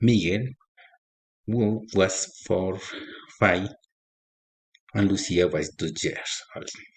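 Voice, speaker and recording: Speaking at a very slow pace with long, frequent pauses, a man uses a fairly low, somewhat breathy voice with ordinary pitch variation. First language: Spanish. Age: 40s. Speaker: agronomy student. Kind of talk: reading aloud. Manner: halting.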